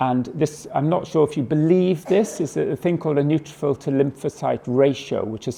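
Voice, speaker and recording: This man has a British accent and a dark, mellow tone with vocal fry. His intonation is lively. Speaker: oncologist. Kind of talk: lecture. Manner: fast; hesitant fillers.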